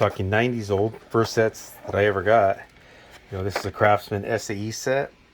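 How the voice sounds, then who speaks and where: Over noticeable background noise, a man talks at a moderate pace in a fairly low voice. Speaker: mechanic. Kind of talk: tool review video. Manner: stuttering; casual, hesitant.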